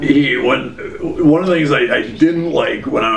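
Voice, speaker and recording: A man, with noticeable background noise. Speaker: former extremist turned speaker. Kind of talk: interview answer.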